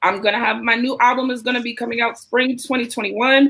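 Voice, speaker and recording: A woman speaks in a high-pitched voice. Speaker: rapper. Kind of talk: interview.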